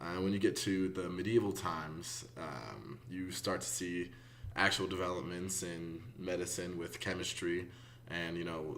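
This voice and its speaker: A man talks at a very deep, low pitch with ordinary pitch variation. Room echo is audible. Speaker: student. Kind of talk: class discussion summary. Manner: hesitant, many fillers.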